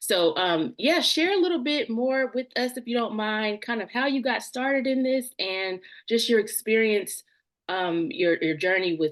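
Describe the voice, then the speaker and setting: In a Southern US accent, the speaker moves at a moderate pace with very wide pitch swings against a quiet background. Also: woman. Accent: Southern twang. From US South. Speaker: podcast host. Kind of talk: interview conversation. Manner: hesitant, many fillers.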